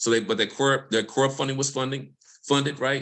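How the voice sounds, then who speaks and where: In a Mississippi accent, a man talks at a medium pitch with a bright, sharp tone. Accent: US Southern (Mississippi). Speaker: environmental justice researcher. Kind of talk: panel discussion. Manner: fast.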